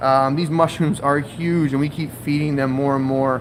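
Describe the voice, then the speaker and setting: A man speaks with monotone, flat intonation. Noticeable background noise runs underneath. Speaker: aquarium shop owner. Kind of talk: live stream. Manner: casual, filler-heavy.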